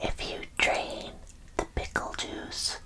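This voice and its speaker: Someone whispers against noticeable background noise. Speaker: ASMR content creator / vtuber. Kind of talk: ASMR whisper roleplay, deadpan false facts read to camera. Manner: whispered, soft-spoken.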